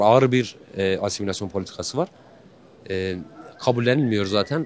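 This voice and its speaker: Talking at a fairly quick pace, a man with a Kurdish accent uses ordinary pitch variation. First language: Kurdish (speaking Turkish). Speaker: street interviewee. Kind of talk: street interview. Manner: hesitant, many fillers.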